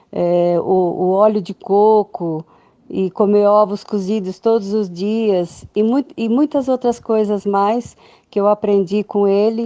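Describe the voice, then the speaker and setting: Heard in a dry, close sound with no echo, a woman of medium pitch speaks in a dark, mellow tone with fairly even intonation. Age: 60s. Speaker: testimonial giver. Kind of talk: testimony. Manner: halting.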